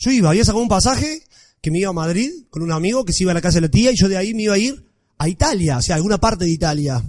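Speaking at a very fast pace, a man sounds animated, with a high pitch and lively intonation. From Argentina, Villa María, Córdoba. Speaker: blogger. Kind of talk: talk to an audience.

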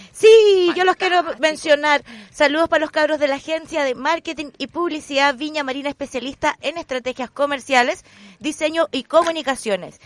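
The woman's high voice moves through ordinary pitch variation, with a dry, close sound and no echo. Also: fairly quick pace. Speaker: radio host. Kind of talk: casual chat. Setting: radio studio.

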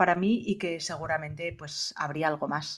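Here is a woman with an ordinary speaking voice, talking at a moderate pace with ordinary pitch variation. The recording is very clean, with a silent background. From Spain, Asturias (Gijón). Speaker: entrepreneur, leadership consultant and author. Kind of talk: interview.

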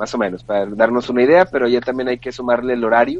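A man speaks fairly quickly, and noticeable background noise can be heard throughout. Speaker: podcast co-host. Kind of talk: casual chat.

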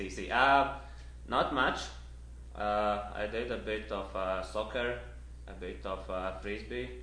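In a room with audible echo, a man with a very deep, low pitch, a bright, sharp tone and vocal fry speaks very slowly, with very wide pitch swings and long, frequent pauses. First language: not Spanish (speaking Spanish). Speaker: trail runner. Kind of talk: interview. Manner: halting Spanish.

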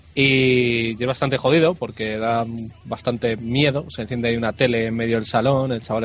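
Over noticeable background noise, a man talks at a very fast pace, medium in pitch, with fairly even intonation. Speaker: video game website writer. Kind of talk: casual chat.

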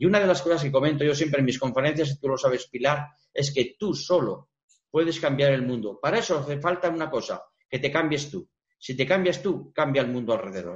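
At a fairly quick pace, a man with a fairly high pitch speaks in a somewhat breathy voice with ordinary pitch variation. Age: 60s. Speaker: retired psychologist. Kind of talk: TV interview.

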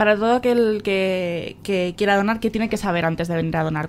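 A woman talks at a fairly quick pace in a medium-pitched voice with ordinary pitch variation. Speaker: local radio host. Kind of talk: radio interview. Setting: on location in a hospital. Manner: halting, many fillers and repetitions.

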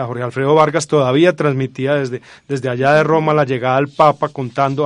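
Speaking fairly quickly, the man has a fairly high pitch and a monotone, flat intonation. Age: 40s. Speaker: university lecturer and researcher. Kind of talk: radio interview.

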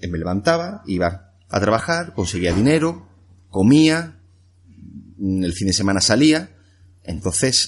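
A man's fairly low voice with very wide pitch swings and long, frequent pauses, over a quiet background. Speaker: entrepreneur and coach. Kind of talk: interview. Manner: halting, repeats words.

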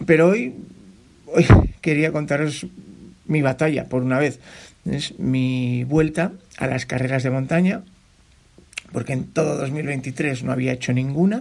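The man's voice is fairly high, and his pitch varies in an ordinary way. He talks at a fairly slow pace with long, frequent pauses. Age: 50s. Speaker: trail running podcaster and mountain runner. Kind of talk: solo podcast monologue, personal race report. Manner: animated; repetitive fillers and restarts.

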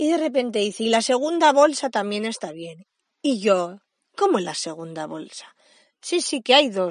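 Her voice fairly high, a woman speaks at a fairly slow pace with very wide pitch swings. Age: 30s. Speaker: podcast host, mother and early childhood educator. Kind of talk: personal podcast monologue. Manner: halting, with frequent repetitions and fillers.

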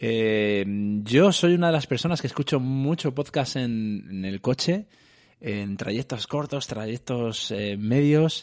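A man's medium-pitched voice at a fairly slow pace, with lively intonation and a quiet background. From Madrid, Spain. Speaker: podcast host. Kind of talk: interview. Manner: halting, many repetitions.

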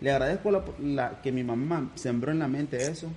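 Here a man talks in a Nicaraguan accent with a dark, mellow tone. He keeps a moderate pace and ordinary pitch variation. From Nicaragua (Managua). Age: 30s. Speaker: businessman. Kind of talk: casual chat.

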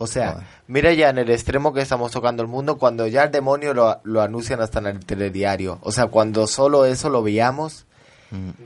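A man with a normal speaking voice talks at a fairly quick pace, with a medium pitch and ordinary pitch variation. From France. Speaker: guest. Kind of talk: casual radio chat.

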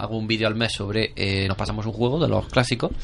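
A man of medium pitch talks at a fairly quick pace. Noticeable background noise runs underneath. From Spain, Andalusia (Jaén province). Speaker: YouTuber and amateur filmmaker. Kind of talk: casual chat. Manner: halting.

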